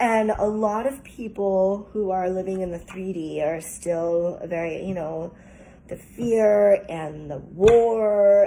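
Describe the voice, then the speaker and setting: With a dark, mellow tone, a woman speaks at a very slow pace with ordinary pitch variation. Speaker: tarot reader. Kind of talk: collective tarot reading. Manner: halting, stuttering.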